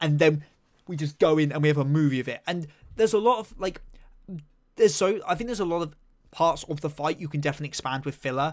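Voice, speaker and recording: A man speaks at a very fast pace in an animated tone, his pitch fairly high with ordinary variation. Long, frequent pauses break up the speech on a very clean recording with a silent background. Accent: English. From southeast England. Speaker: anime and manga streamer. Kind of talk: live stream chat. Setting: live stream.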